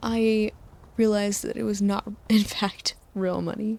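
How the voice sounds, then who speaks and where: Soft-spoken and gentle, a woman speaks at a fairly slow pace in a fairly high voice with a dark, mellow tone and ordinary pitch variation. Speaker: sleep-aid video creator who narrates over game footage. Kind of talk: sleep aid rambling while playing a video game; casual talk to camera, personal anecdotes. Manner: gentle, soft-spoken.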